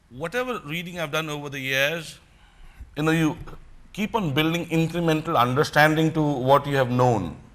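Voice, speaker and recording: A man with a strong Punjabi accent talks at a fairly high pitch and moderate pace, with ordinary pitch variation. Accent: strong Punjabi Indian English. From India. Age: 50s. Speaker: motivational speaker. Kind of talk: motivational talk.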